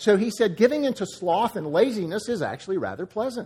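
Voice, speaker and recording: Fairly quick, lively speech in an American accent with a dark, mellow tone. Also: man. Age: 60s. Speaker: pastor. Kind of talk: sermon. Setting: church.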